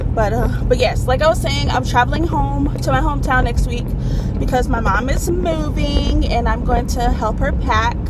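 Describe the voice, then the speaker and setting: Music plays in the background while a woman speaks, the sound dry with no echo. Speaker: vlogger. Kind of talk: casual vlog chat. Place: car. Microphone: phone near.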